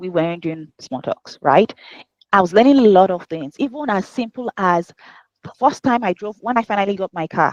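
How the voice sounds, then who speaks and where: A woman speaks in a medium pitch with a Nigerian accent. Her intonation is lively. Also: moderate pace. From Nigeria (Yoruba). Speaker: HR professional and life coach. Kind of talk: podcast interview.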